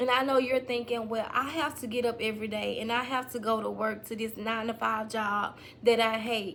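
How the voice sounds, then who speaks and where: A woman with a Mississippi accent talks at a fairly quick pace with hardly any pauses. Her fairly high voice stays monotone and flat. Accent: Southern US (Mississippi). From US South, Mississippi. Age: 30s. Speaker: online business coach / YouTuber. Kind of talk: motivational talk to camera.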